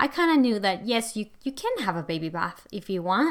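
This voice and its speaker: In a non-native accent, a woman speaks at a fairly quick pace. The recording is very clean with a silent background. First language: not English. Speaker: podcast host, home education coach. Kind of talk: solo podcast monologue.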